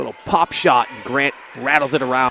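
The recording of this man has a dry sound with no echo. Light background noise runs underneath. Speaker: basketball play-by-play commentator. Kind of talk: sports play-by-play commentary. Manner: fast, breathless run-on calls that pile plays together without pause; excitable, bursting into exclamations and laughter on big plays. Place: hall.

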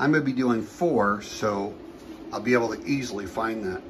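There is noticeable background noise. Through it, a man's voice can be heard. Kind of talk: tutorial. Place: garage. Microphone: phone near.

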